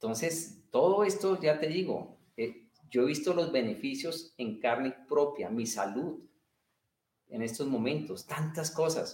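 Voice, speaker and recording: This man's intonation is lively. He talks at a very slow pace. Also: fairly high pitch for a man. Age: 50s. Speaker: martial arts and meditation teacher. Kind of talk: interview. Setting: livestream video call.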